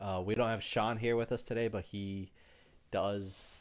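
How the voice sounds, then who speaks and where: A man's fairly low voice at a fairly slow pace. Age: 30s. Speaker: sports podcast co-host; podcast co-host. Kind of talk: casual chat. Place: home room. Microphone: headset.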